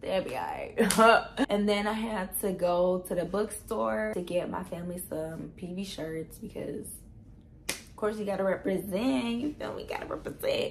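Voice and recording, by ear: A raspy woman's voice at medium pitch, delivered at a fairly slow pace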